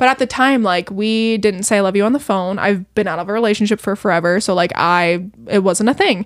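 This is a normal speaking voice at a fairly quick pace with hardly any pauses and ordinary pitch variation. The recording is very clean, with a silent background. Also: woman, medium pitch for a woman. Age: 20s. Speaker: podcast guest, host's partner. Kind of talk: casual chat.

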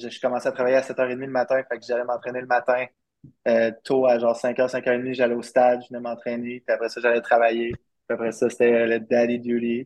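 Monotone, flat intonation from a man of medium pitch at a moderate pace. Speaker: professional baseball player. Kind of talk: interview.

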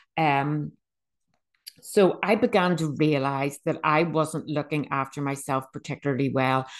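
A woman speaks in a Northern Irish accent with a very deep, low pitch. Her intonation is monotone and flat, against a quiet background. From Northern Ireland, Bangor. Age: 50s. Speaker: podcast host. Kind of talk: personal testimony monologue. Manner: halting, self-correcting.

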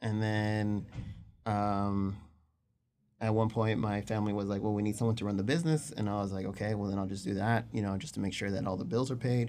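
Fairly quick in pace and with fairly even intonation, this is an ordinary speaking voice. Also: man, fairly low pitch for a man. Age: 30s. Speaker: engaged partner interviewed about relationship. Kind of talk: casual interview.

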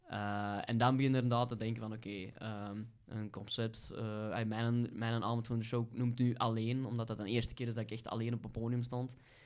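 A man's medium-pitched, monotone, flat delivery at a fairly quick pace, with hardly any pauses. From Belgium, Kempen (Vosselaar). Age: 30s. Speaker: stand-up comedian. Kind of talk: casual chat.

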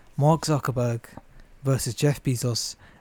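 A man in a British accent speaks at a medium pitch and moderate pace, with a dark, mellow tone. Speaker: podcast co-host. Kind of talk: casual chat.

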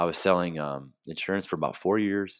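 The recording is very clean, with a silent background. A man with an American accent speaks at a moderate pace in a very deep, low pitch with ordinary variation. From Flint, Michigan (US Midwest). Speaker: vegan business owner, former Marine. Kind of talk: interview conversation. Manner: halting, repeats words.

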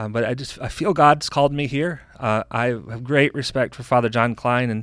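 Against a silent background in a very clean recording, a man with an American accent has an unremarkable speaking voice, speaking at a medium pitch and a moderate pace with fairly even intonation. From US Midwest, Jackson, Michigan. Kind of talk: casual interview.

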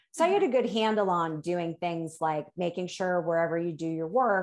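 A woman's fairly low-pitched, unremarkable speaking voice at a moderate pace against a quiet background. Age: 50s. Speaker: life coach. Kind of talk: casual interview chat.

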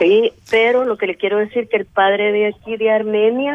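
The speaker is a woman with a medium-pitched voice. She talks at a fairly quick pace. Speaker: radio caller. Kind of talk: phone call-in. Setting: phone call. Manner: halting.

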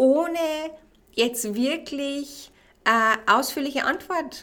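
A woman is speaking here. Her tone is enthusiastic and warm. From Bavaria, Regensburg. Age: 20s. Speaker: podcast host and life coach. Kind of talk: solo self-help podcast talk. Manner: enthusiastic, warm.

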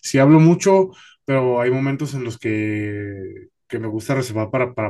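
Against a quiet background, a man with an ordinary speaking voice talks at medium pitch with ordinary pitch variation. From Mexicali, northern Mexico. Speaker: stand-up comedian. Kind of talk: casual interview chat.

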